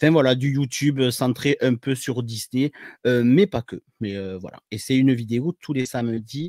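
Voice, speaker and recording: In a southern French accent, a man with a medium pitch talks at a fairly slow pace, recorded with a dry, close sound and no echo. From southern France. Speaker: paramedic and YouTuber. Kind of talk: podcast interview. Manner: hesitant, many fillers.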